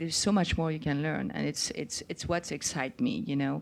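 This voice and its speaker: With a French accent, a woman talks at a fairly quick pace on a very clean recording with a silent background. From France. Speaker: chef. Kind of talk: live onstage conversation. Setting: stage with audience.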